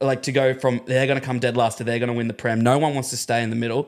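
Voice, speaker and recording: Monotone, flat intonation marks this man speaking with an Australian accent. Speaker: breakfast radio presenter. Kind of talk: casual sports chat. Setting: studio.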